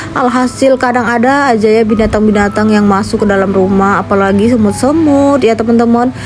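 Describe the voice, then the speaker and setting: Against noticeable background noise, a woman's fairly high voice holds very even loudness and fairly even intonation. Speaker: vlogger and housewife. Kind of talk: voiceover vlog narration. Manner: casual, chatty; hesitant fillers.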